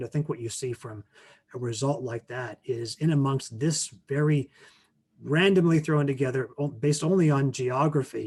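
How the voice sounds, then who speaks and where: A man talks at a fairly high pitch and a moderate pace. His voice is somewhat breathy, with ordinary pitch variation. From Canada. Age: 50s. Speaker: teacher and author. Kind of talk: presentation Q&A.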